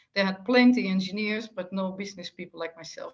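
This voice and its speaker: A woman speaks with a slight Dutch accent. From Netherlands. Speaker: retired telecom executive, author. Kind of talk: interview conversation.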